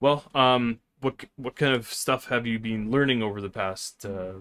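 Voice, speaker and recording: At a moderate pace, a man talks in an unremarkable speaking voice, fairly low in pitch with ordinary pitch variation, in a very clean recording with a silent background. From Vancouver, Canada. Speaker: podcast host, cannabis grower. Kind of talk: casual interview chat.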